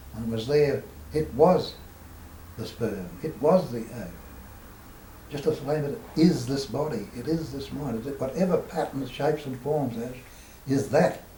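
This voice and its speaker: An Australian accent at a moderate pace, with big swings in loudness, long, frequent pauses and ordinary pitch variation. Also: man, fairly high pitch for a man. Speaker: spiritual teacher. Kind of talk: spiritual talk at a meeting.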